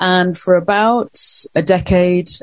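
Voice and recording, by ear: A woman speaks slowly with a Northern English accent. Her pitch is fairly low and her intonation fairly even.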